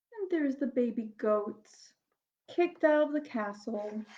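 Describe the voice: A woman at a slow pace, with lively intonation. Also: fairly high pitch for a woman.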